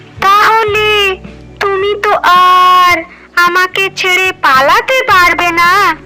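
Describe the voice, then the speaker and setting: Over clear background music, a cartoonish character voice speaks at a very slow pace. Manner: nervous, excitable.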